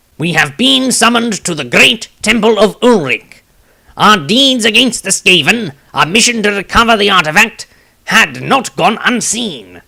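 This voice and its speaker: A man's put-on character voice, high in pitch with lively intonation. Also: moderate pace. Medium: read story.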